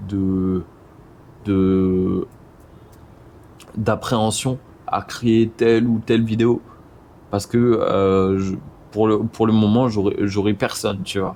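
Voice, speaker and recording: A man's dark, mellow tone at a fairly low pitch, in monotone, flat intonation, at a very slow pace with long, frequent pauses. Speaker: video creator, motion design business owner. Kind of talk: casual vlog talk to camera. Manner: hesitant, many fillers and repetitions.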